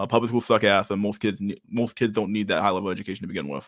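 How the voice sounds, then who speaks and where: A man with a fairly low pitch and fairly even intonation, on a very clean recording with a silent background. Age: 30s. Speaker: livestream host. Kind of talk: casual chat. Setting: livestream. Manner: casual, halting with repetitions.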